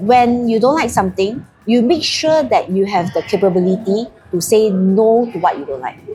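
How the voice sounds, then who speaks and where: Noticeable background noise sits behind a woman speaking. She has a Singaporean accent and lively intonation. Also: fairly high pitch for a woman, moderate pace. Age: 60s. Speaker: realtor podcast co-host. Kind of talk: casual chat.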